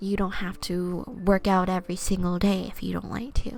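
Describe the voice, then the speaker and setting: A woman is soft-spoken. Music plays in the background. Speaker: vtuber and twitch streamer doing ASMR. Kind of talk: oracle card reading, soft-spoken ASMR stream. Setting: live stream. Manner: soft-spoken, casual, friendly.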